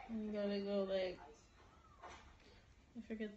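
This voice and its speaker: Over light background noise, a woman talks fairly slowly in a flat monotone. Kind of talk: casual conversation filmed on phone. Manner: loopy, slurred. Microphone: phone near.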